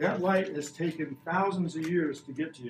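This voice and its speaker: In a room with audible echo and light background noise, a man with a high pitch speaks at a moderate pace with ordinary pitch variation. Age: 60s. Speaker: science educator visiting a school class. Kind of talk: classroom lesson for children. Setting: elementary school classroom. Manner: animated. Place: classroom. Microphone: camera far.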